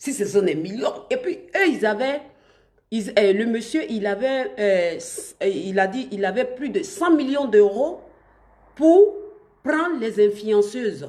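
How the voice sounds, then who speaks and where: Speaking at a fairly slow pace, a woman with a fairly high pitch uses very wide pitch swings. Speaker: online influencer / live streamer. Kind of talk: live stream talk to viewers. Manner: halting, many restarts.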